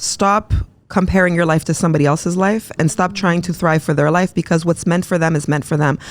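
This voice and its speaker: At a very fast pace, a woman with a fairly low pitch talks in an animated tone. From Quebec, Montreal. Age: 40s. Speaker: entrepreneur and mental health advocate. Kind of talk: casual interview.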